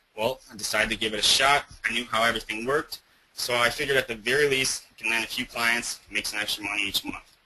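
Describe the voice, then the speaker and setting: A man at medium pitch and a very fast pace, with noticeable background noise. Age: 20s. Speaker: offline marketing business owner. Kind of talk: webinar presentation. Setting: online webinar. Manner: animated.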